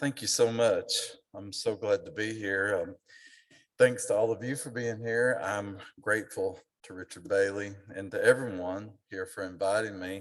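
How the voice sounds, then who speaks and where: A man's voice with an Appalachian accent and big swings in loudness. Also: fairly low pitch for a man, ordinary pitch variation, moderate pace. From Appalachia, eastern Kentucky. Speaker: author and lecturer. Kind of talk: lecture. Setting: auditorium with audience.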